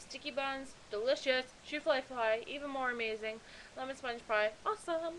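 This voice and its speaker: A high-pitched woman with an American accent speaks at a moderate pace with ordinary pitch variation over noticeable background noise. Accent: thick Pennsylvania accent, per others. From central Pennsylvania, near Lock Haven. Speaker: video blogger. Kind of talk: casual vlog, partly reading an email aloud. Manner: casual, chatty with fillers.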